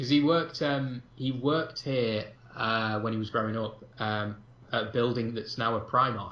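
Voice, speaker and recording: A man with a slight Manchester accent speaks at a moderate pace, his medium-pitched voice fairly even in intonation. Audible room echo and noticeable background noise are present. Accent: slight Mancunian. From northern England, Manchester. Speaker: film podcast co-host. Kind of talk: casual chat. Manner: hesitant, many fillers.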